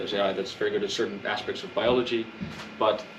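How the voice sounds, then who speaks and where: With a Dutch accent, a man talks in a room with audible echo. Music plays in the background. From Netherlands. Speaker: activist presenter. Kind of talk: public presentation. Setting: community meeting in a record store.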